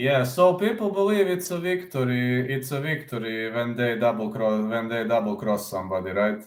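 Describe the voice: At a moderate pace and with ordinary pitch variation, the voice carries audible room echo. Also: man, medium pitch for a man.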